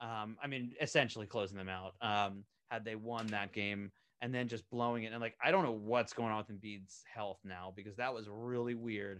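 This man talks at a moderate pace in a normal speaking voice, fairly low in pitch. His intonation stays fairly even against a quiet background. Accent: American. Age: 30s. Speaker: animation creator and writer. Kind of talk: casual chat.

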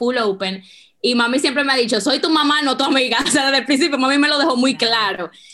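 This woman has a high pitch. Her tone is bright and sharp. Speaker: business co-founder. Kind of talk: interview.

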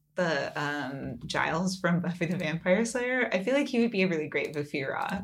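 A woman talks at a fairly low pitch and moderate pace, with hardly any pauses. Her pitch swings very widely over noticeable background noise. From California. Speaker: podcast co-host. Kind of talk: casual chat.

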